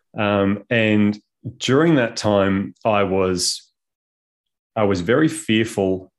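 Fairly low in pitch, this man speaks with ordinary pitch variation. The background is quiet. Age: 30s. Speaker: conscious parenting coach. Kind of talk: casual interview.

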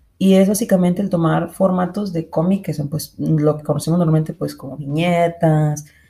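A woman at a moderate pace, her very deep, low voice dark, mellow and somewhat breathy. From Mexico, Monterrey. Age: 20s. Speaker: podcast host, illustrator. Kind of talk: casual monologue.

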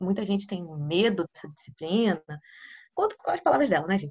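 A woman at a very fast pace. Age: 20s. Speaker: physics PhD student and teacher. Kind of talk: casual interview chat.

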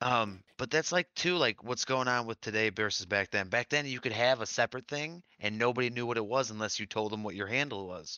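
Speaking at a fairly quick pace with hardly any pauses, a man with an American accent uses a normal speaking voice at medium pitch and ordinary pitch variation. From Michigan. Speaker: podcast co-host. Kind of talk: casual chat.

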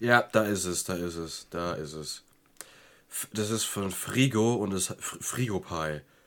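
A man talks at a very slow pace with long, frequent pauses. His loudness swings widely. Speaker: podcast co-host. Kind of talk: casual chat.

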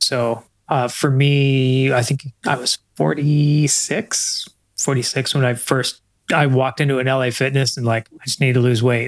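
Here is a man with an unremarkable speaking voice, medium in pitch and fairly slow in pace. His loudness is very even and his intonation fairly even. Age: 50s. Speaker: marketing coach and runner. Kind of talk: casual chat.

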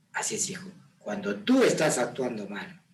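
A calm tone with very wide pitch swings, moderate pace, and audible room echo. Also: man. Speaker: father of the host. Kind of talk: casual chat. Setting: on camera.

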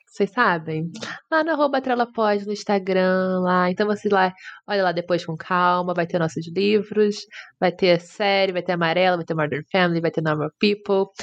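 A woman speaks in an ordinary speaking voice at medium pitch and a moderate pace, with ordinary pitch variation. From Brazil, Rio de Janeiro. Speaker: podcast co-host. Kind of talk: casual chat. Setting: virtual call.

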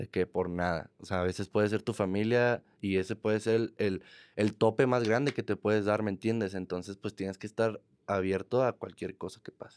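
A man with an ordinary speaking voice talks at a moderate pace with fairly low pitch and fairly even intonation on a very clean recording with a silent background. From Mexico, Monterrey. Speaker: trap artist. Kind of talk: casual chat. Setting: studio.

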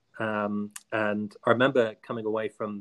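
A man speaks with a southern English accent in a fairly low-pitched voice. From southern England, Hampshire. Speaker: school head teacher. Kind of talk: interview.

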